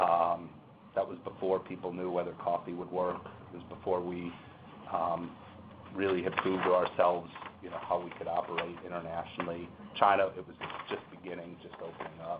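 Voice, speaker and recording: A man with a very deep, low pitch speaks at a fairly quick pace in a monotone, flat intonation, with long, frequent pauses. His loudness swings widely, and there is noticeable background noise. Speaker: corporate lawyer. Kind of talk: panel discussion. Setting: seminar room with webinar audience. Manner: hesitant, many fillers.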